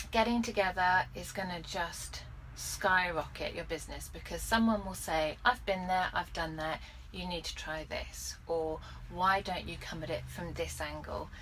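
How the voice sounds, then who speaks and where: A woman speaks with a southern English accent. Audible room echo surrounds her voice. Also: moderate pace. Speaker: business coach vlogger. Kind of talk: casual vlog monologue. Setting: in a car.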